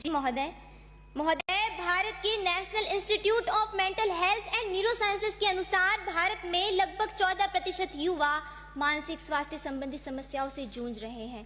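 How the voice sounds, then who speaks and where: Using a raised, projected voice, a woman speaks with lively intonation. Her pitch is extremely high. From Rajasthan, Pali district. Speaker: youth parliament speaker. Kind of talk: parliamentary speech. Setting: assembly chamber. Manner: formal.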